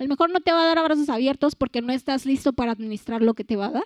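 Against a quiet background, a woman with a Mexican accent speaks in a high pitch with an animated tone and ordinary pitch variation, her sound dry and close with no echo. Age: 20s. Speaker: youth speaker. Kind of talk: sermon.

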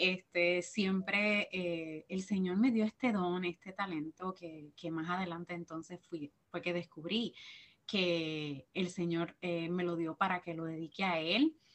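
In a Puerto Rican accent, the speaker goes at a very slow pace with fairly even intonation. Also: woman, fairly low pitch for a woman. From Puerto Rico. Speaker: teacher and church minister. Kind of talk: testimony interview.

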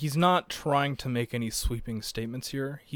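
The passage is read out plainly.

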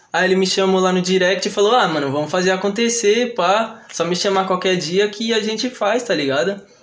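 A man's high voice at a fairly quick pace, with ordinary pitch variation, hardly any pauses, very even loudness and noticeable background noise. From São Paulo, Vila Maria. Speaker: trap musician. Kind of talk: casual chat. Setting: studio.

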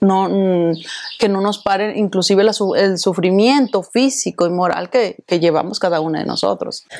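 A woman with a plain, everyday voice, medium pitch, ordinary pitch variation and a moderate pace. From Mexico. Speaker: event organizer and association president. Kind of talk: interview.

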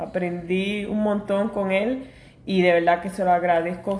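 A woman speaks in an ordinary speaking voice with fairly even intonation. Her pace is fairly slow. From New York. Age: 40s. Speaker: podcast co-host, pastry cook. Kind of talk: casual chat. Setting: at home.

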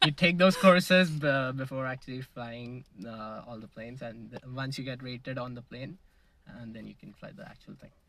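This man has a medium-pitched, bright, sharp voice with ordinary pitch variation. He keeps a moderate pace while his loudness swings a lot. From India, Mumbai. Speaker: pilot and jiu jitsu practitioner. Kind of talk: casual interview. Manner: hesitant, many fillers.

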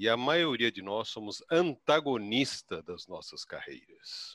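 This man's voice has a bright, sharp tone and very wide pitch swings, recorded with a dry, close sound and no echo. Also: quiet background. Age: 60s. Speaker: career consultant. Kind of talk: live webinar panel discussion.

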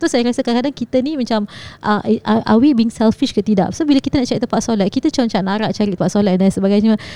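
Speaking at a very fast pace, a woman has a fairly high pitch with ordinary variation and a dark, mellow tone. Her loudness stays very even, and the sound is dry and close with no echo. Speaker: podcast co-host. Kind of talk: casual chat.

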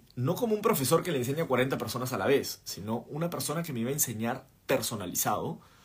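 Fairly quick and somewhat breathy, a man at a medium pitch delivers his words in an animated tone with lively intonation. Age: 30s. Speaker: podcast host and entrepreneur. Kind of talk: livestream talk. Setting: live stream.

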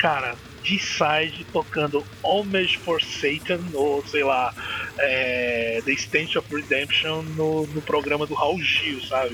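Over noticeable background noise, a man talks at a very slow pace in a fairly high pitch, with ordinary pitch variation. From Northeast Brazil (Maceió, Alagoas). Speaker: metal podcast host. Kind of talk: casual chat. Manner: animated.

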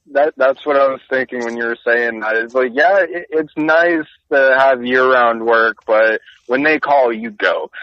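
At a fairly slow pace, a man with a plain, everyday voice speaks at medium pitch with ordinary pitch variation. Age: 20s. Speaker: HVAC technician. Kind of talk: casual chat.

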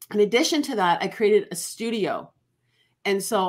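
On a very clean recording with a silent background, a woman with a Canadian accent speaks at a moderate pace and medium pitch in an ordinary speaking voice. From Ontario, Canada. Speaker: life coach. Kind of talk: interview.

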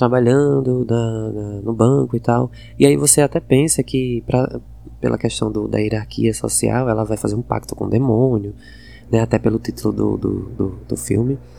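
This man speaks with a northeastern Brazilian accent. His pace is moderate. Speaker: podcast host. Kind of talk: casual film review monologue. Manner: hesitant, many fillers.

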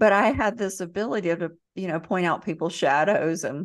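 Against a quiet background, someone with a slight Southern US accent speaks at a moderate pace with ordinary pitch variation. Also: woman. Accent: slight Southern twang. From US South, Central Florida. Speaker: emotional healing teacher and author. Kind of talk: interview storytelling.

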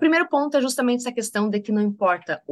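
A woman's voice with very wide pitch swings. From Rio Grande do Sul, Brazil. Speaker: podcast host, leadership consultant. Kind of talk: solo podcast monologue, reflective. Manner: halting with filler hesitations.

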